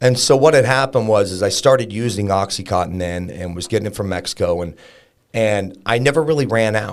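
This man has a normal speaking voice. It sits fairly low, with ordinary pitch variation. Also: very clean recording, silent background. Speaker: fitness coach and business owner. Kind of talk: casual interview, recovery story.

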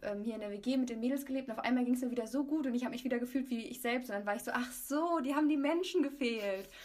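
Very rapid speech from a woman, high in pitch, its pitch movement ordinary. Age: 20s. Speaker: student. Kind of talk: casual chat.

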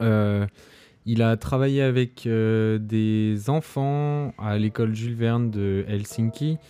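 Very slow and fairly even in intonation, a man's dark, mellow voice of medium pitch comes through in a very clean recording with a silent background. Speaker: podcast host. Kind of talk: casual chat.

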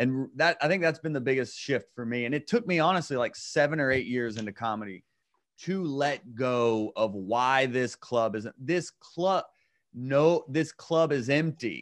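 Against a quiet background, a man speaks at a moderate pace with a medium pitch. He has a plain, everyday voice with ordinary pitch variation. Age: 30s. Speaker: comedian. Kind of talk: casual chat.

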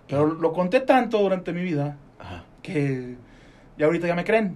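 A man speaks with a fairly high pitch. Room echo is audible. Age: 40s. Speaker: radio co-host. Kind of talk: casual chat.

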